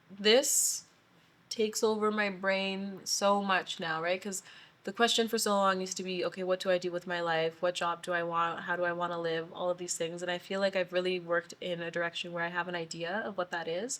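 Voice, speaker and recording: This woman talks at a moderate pace and medium pitch with fairly even intonation. It is an unremarkable speaking voice. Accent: Canadian. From Saskatchewan, Canada. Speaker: podcast guest, city designer and curator. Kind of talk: casual interview chat.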